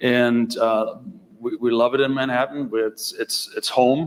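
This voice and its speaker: Speaking at a fairly slow pace, a man with a German accent keeps to a medium pitch. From Germany. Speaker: tech executive. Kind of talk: conference talk.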